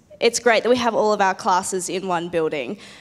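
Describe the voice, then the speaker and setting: Speaking with an Australian accent, a woman uses a medium pitch and ordinary pitch variation. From Adelaide, Australia; South Australia. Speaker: biomedical science student; panelist. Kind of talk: panel presentation. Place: hall. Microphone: handheld.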